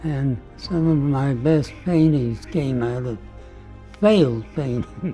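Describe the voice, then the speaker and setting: A man talks at a very slow pace with ordinary pitch variation while music plays in the background. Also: medium pitch for a man. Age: 80s+. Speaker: painter. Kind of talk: documentary talk.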